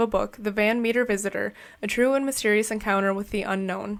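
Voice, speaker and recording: In a very clean recording with a silent background, a woman talks very fast at a fairly high pitch with fairly even intonation. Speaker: podcast co-host. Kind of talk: casual chat.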